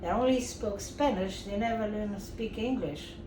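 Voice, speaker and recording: Someone speaks with a Portuguese accent at a moderate pace, with audible room echo and noticeable background noise. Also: woman. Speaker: grandmother being interviewed, retired cleaning supervisor. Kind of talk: family interview.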